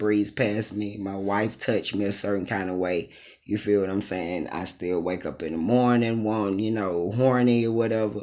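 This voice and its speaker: Fairly slow and fairly even in intonation, a man speaks. The recording is very clean, with a silent background. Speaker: transgender vlogger. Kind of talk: casual vlog monologue. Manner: casual, hesitant with many ums.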